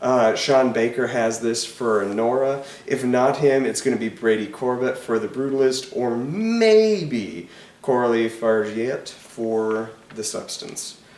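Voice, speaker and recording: At a fairly slow pace, a man speaks in a medium pitch with noticeable background noise and audible room echo. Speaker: film critic YouTuber. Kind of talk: casual commentary. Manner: hesitant with fillers.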